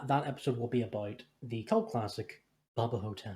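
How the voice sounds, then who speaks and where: Putting on a character voice, a man speaks breathily at a moderate pace, with medium pitch and fairly even intonation. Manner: dramatic, exaggerated announcer-like delivery.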